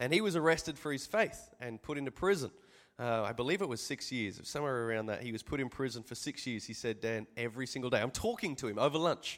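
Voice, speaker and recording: A man talks at a very fast pace with lively intonation and a medium pitch. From Australia. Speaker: pastor. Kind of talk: sermon.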